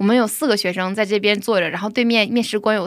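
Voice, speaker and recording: This is a woman with a plain, everyday voice and fairly high pitch, using fairly even intonation. The recording is very clean with a silent background. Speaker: preschool teacher. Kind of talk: testimony.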